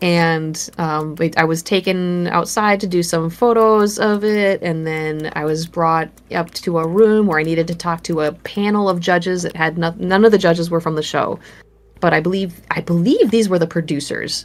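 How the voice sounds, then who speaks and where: A woman with a Minnesotan accent speaks at a moderate pace with a fairly low voice. Her intonation is fairly even, and the recording is very clean with a silent background. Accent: Minnesota. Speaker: horror artist. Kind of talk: casual interview.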